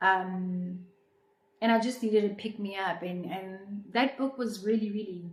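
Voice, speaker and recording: A somewhat breathy woman with a South African accent at a fairly slow pace. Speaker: YouTuber. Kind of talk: casual chat.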